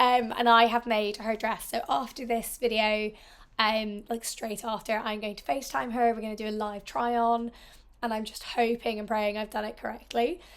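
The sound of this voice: The pace is moderate. The pitch moves very little. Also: woman, fairly high pitch for a woman.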